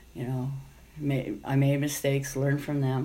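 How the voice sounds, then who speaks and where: In a monotone, flat intonation, a woman with a very deep, low pitch speaks at a fairly slow pace. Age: 50s. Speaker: rideshare driver and former nun. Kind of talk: interview. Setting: at home.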